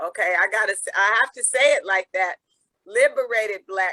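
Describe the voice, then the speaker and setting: A woman with an American accent uses a plain, everyday voice, medium in pitch, with fairly even intonation at a moderate pace, recorded dry and close with no echo. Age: 60s. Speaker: peace activist. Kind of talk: interview. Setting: video call.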